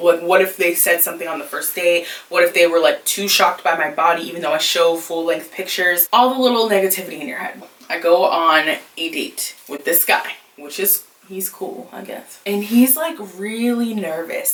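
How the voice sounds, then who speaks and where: Against noticeable background noise, a woman talks at medium pitch and a moderate pace, with ordinary pitch variation and big swings in loudness. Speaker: YouTuber, plus-size lifestyle creator. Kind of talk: storytime, casual monologue. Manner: animated.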